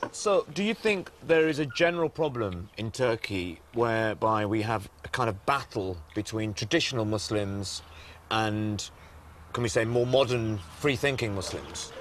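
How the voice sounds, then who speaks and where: With a British accent, a man talks at a moderate pace in a medium pitch, his intonation lively. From Britain. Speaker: documentary presenter. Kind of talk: interview; casual piece to camera.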